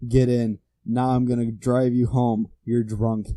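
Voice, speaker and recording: In a put-on character voice, a man speaks at a fairly slow pace. His intonation stays flat and monotone. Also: medium pitch for a man. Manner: very serious, stern.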